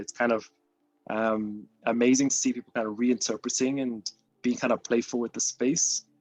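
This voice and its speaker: A man with a British accent talks at a moderate pace and medium pitch, his intonation fairly even. The sound is dry and close with no echo, with music in the background. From Britain. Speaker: artist. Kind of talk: artist talk. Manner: hesitant, many fillers.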